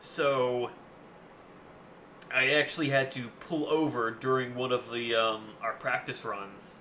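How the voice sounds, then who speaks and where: A man with fairly even intonation against noticeable background noise. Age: 20s. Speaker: gaming streamer. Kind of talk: casual chat. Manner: loud; halting.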